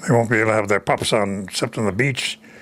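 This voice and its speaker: Speaking at a fairly quick pace and medium pitch, a man is heard over noticeable background noise. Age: 80s+. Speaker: retired war veteran. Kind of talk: interview answer.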